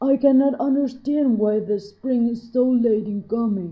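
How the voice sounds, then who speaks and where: At a moderate pace, a gruff, put-on character voice carries the lines. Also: woman. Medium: read story.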